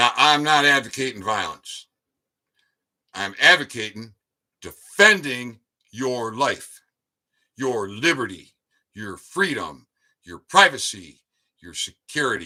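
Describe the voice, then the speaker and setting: Very slow with long, frequent pauses, a man's medium-pitched voice carries a bright, sharp tone, an American accent, very wide pitch swings, and big swings in loudness. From US Midwest, Detroit suburbs. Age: 70s. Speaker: YouTube commentator. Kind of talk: livestream monologue. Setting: live stream. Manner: animated.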